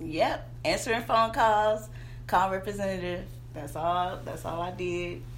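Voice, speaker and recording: With a Southern US accent, a woman speaks at a fairly slow pace, her loudness swinging widely. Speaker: branding coach and entrepreneur. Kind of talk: casual interview chat.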